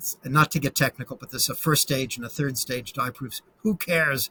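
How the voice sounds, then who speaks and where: A man speaks at a medium pitch with fairly even intonation and a bright, sharp tone. The sound is dry and close, with no echo. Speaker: chess grandmaster and stamp collector. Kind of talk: slideshow presentation in an interview. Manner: fast.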